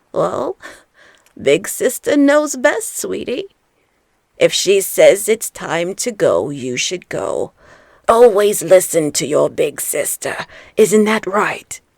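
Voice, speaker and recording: The put-on character voice is raspy and very slow, broken by long, frequent pauses. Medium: read story. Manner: sweet, coaxing.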